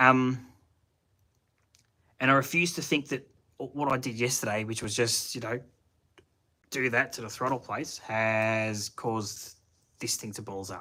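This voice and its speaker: Speaking with a strong Australian accent, a man uses a bright, sharp tone at a medium pitch with ordinary pitch variation. He keeps a moderate pace with long, frequent pauses and big swings in loudness. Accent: broad Australian. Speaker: car hobbyist YouTuber. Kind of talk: live stream chat with viewers. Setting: home shed, live stream. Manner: casual, halting with fillers.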